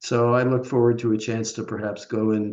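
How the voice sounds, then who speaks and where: A man with a dark, mellow tone speaks at a fairly slow pace in a monotone, flat intonation. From Canada, Manitoba. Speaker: Buddhist practitioner and speaker. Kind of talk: group discussion. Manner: halting, many fillers.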